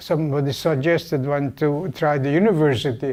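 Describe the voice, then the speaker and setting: Speech comes at a fairly slow pace in a Hungarian accent. The tone is dark and mellow, the intonation fairly even. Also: man. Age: 80s+. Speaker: Holocaust survivor. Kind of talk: guest talk to university class. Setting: classroom.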